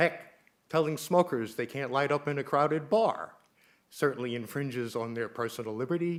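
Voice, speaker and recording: This is a man with a fairly high pitch, speaking at a moderate pace in a normal speaking voice. His pitch varies in an ordinary way. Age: 60s. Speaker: public commenter at town council meeting. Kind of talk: public comment.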